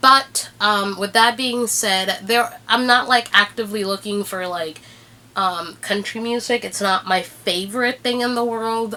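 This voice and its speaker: A woman speaks with a Spanish accent and a bright, sharp tone. Her intonation is fairly even. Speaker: YouTuber. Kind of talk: casual vlog talk. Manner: hesitant, many fillers.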